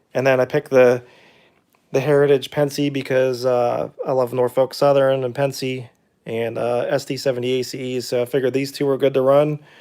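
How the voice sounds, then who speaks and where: A man talks at a fairly quick pace with a medium pitch. His tone is dark and mellow, and his intonation flat and monotone. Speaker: model train hobbyist livestreamer. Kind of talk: live stream talk. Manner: casual, hesitant with fillers.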